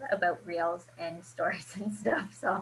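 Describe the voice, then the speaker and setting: This woman speaks at a moderate pace. Her pitch varies in an ordinary way. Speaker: social media coach. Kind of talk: video call workshop. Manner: animated.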